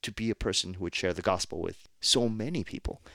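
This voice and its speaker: In an American accent, a man speaks at a moderate pace and a fairly low pitch. The sound is dry and close with no echo, on a very clean recording with a silent background. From New Jersey.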